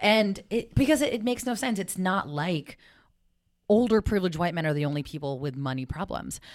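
An animated woman with an American accent speaks at a fairly quick pace and a medium pitch, with very wide pitch swings. The recording is very clean, with a silent background. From South San Francisco, California. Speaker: personal finance coach. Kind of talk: casual interview chat.

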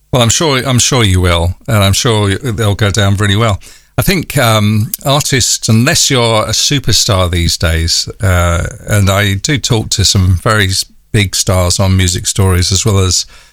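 Fairly low in pitch, a man talks at a fairly slow pace with very even loudness and ordinary pitch variation. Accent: North London. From North London. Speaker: radio broadcaster and podcast host. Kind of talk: interview. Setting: remote call.

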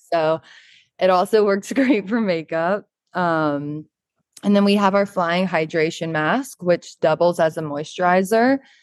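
In an ordinary speaking voice, a woman with an American accent speaks at a fairly slow pace and a fairly low pitch, with ordinary pitch variation, very even loudness, and a dry, close sound with no echo against a quiet background. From US South, Charleston, South Carolina. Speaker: model and beauty brand founder. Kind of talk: podcast interview.

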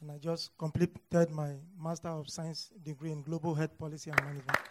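With a Nigerian accent, a man talks at a fairly quick pace and fairly high pitch in a monotone, flat manner. His loudness swings widely, and there is noticeable background noise. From Nigeria, north central. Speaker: pharmacist and graduate student guest. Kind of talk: testimony interview before audience.

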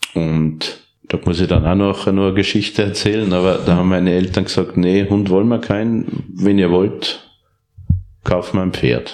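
Speaking at a moderate pace, a man with a very deep, low pitch keeps his loudness very even. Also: fairly even intonation. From Upper Austria (Steyr). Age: 40s. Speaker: professional horse trainer and reining rider. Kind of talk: interview.

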